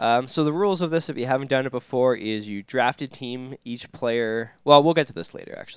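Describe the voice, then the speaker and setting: Recorded very cleanly against a silent background, a man in a plain, everyday voice talks at a fairly quick pace and medium pitch, with ordinary pitch variation and big swings in loudness. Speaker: hockey podcast co-host. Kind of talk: casual chat.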